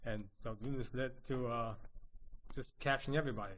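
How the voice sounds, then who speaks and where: A man with a New Jersey accent, medium pitch and fairly even intonation, at a very fast pace. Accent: US Northeast, New Jersey. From Princeton, New Jersey. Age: 70s. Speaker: photo collage artist. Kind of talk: interview.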